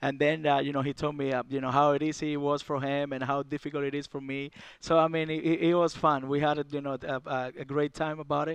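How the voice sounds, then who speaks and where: Speaking with a Cuban accent, a man goes at a very fast pace. His fairly high voice stays flat and monotone. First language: Spanish. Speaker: baseball catcher. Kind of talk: casual interview. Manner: halting, filler-heavy.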